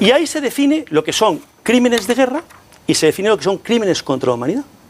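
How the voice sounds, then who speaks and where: A man with a high voice, very wide pitch swings and a very fast pace. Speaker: political party leader and lawyer. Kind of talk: heated debate.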